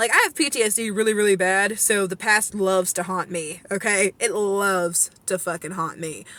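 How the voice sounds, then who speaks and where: A woman's medium-pitched voice, an ordinary speaking voice, at a moderate pace with ordinary pitch variation and hardly any pauses. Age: 20s. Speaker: vlogger. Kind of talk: casual rant to camera. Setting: in a car.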